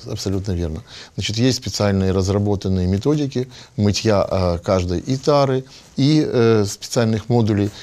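Speaking at a moderate pace, a man has a fairly low voice with ordinary pitch variation. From Odesa, Ukraine. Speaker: catering company representative. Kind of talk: TV panel discussion. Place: meeting room.

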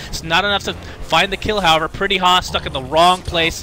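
A man with a high pitch talks at a fairly quick pace amid noticeable background noise. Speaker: esports commentator. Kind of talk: live esports commentary. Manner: fast-paced, excitable play-by-play; reacts with laughs and quick self-corrections.

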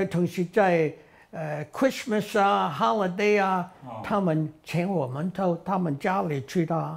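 A man speaks at a very slow pace in a high-pitched voice. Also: ordinary pitch variation. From Taishan, Guangdong, China. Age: 80s+. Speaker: war veteran, aircraft ground mechanic. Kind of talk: interview answer. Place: home room. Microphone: lapel.

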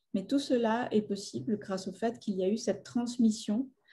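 A woman speaks at a fairly slow pace with a fairly high pitch and ordinary pitch variation. Her tone is dark, mellow and somewhat breathy. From Colombia, Bogota; Colombia. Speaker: artist and filmmaker; guest. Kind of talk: public talk. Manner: halting. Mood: thoughtful, calm. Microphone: webcam.

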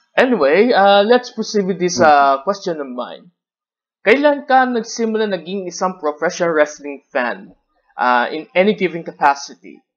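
At a moderate pace, a man speaks in a high voice with very wide pitch swings. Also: quiet background. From Philippines. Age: 30s. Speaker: wrestler and video host; video host. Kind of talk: casual interview. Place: home room. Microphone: headset.

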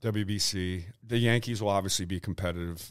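The voice moves at a moderate pace with ordinary pitch variation. The background is quiet. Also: man. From Ohio, US Midwest. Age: 50s. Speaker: retired baseball pitcher; guest. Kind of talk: casual interview chat. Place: meeting room. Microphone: studio mic.

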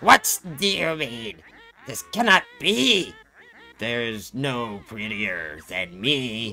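A put-on character voice at a very slow pace, with faint music in the background. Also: man, medium pitch for a man. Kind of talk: reading on-screen dialogue in character voice. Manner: vain, indignant.

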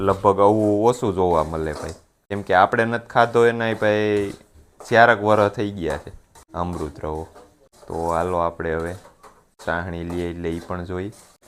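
A man speaks at a very deep, low pitch with ordinary pitch variation. His loudness swings widely. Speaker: farming vlogger. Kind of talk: casual vlog narration.

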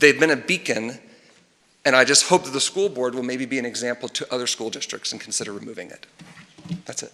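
A man with an American accent at a very fast pace, with long, frequent pauses and big swings in loudness. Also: medium pitch for a man, ordinary pitch variation. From Texas, Tomball/Montgomery area. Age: 30s. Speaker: parent speaking at public comment. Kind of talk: public comment at school board meeting.

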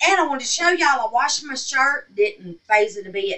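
A woman speaks at a moderate pace and medium pitch with ordinary pitch variation and a bright, sharp tone.

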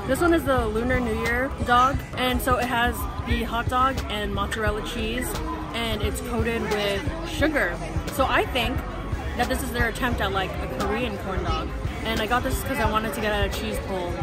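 A woman's voice, dry with no echo, over loud music in the background. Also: moderate pace. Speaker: food vlogger. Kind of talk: casual vlog food review. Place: street. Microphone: phone near.

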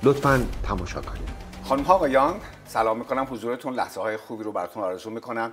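A man is speaking. Music plays in the background. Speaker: TV talk show host. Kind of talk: TV show introduction.

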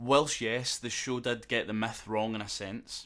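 A man speaks with a Scottish accent. The recording is very clean, with a silent background. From Scotland. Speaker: YouTube lore commentator. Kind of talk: casual lore commentary to camera.

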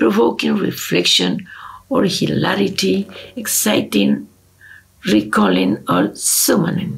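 A woman speaking at a fairly slow pace with a Spanish accent. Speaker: ethnomusicology researcher. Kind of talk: lecture. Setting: video call. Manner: formal. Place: home room. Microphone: webcam.

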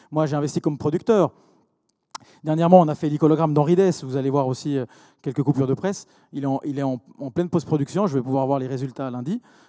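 A man at a very fast pace, fairly high in pitch with a dark, mellow tone and ordinary pitch variation, against a quiet background. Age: 40s. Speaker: entrepreneur; speaker. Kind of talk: conference talk. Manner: halting, many repetitions. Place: hall. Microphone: handheld.

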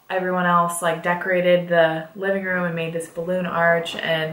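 At a moderate pace, a woman speaks in a fairly low voice with audible room echo. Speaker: vlogger. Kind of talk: casual vlog chat, story time. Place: home room.

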